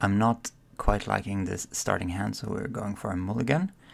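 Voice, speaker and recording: Soft-spoken delivery with vocal fry. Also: man. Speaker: card game content creator. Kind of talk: gameplay commentary. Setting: at home.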